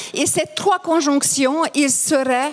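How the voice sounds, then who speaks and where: A woman speaks at a very slow pace. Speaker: lecturer on grief and Jungian psychology. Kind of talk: conference talk. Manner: halting, many hesitations.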